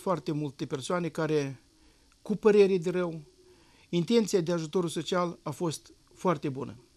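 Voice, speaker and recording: At a moderate pace, a man speaks in a high-pitched voice with ordinary pitch variation. Long, frequent pauses break up his speech. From Moldova, Nisporeni district; Moldova. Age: 60s. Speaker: parliamentary candidate; candidate. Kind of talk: election debate. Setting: studio. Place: studio. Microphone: lapel.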